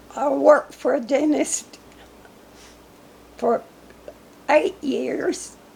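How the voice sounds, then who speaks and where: Over noticeable background noise, a woman speaks at a high pitch and a very slow pace. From Arkansas, near Newport. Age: 80s+. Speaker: local elder interviewed about history. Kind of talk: oral history interview.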